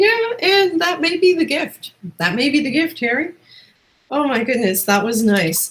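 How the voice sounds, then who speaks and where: Speaking at a fairly slow pace, a woman with a Newfoundland accent uses a high pitch and very wide pitch swings. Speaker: talk show host. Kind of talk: casual interview chat. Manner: animated.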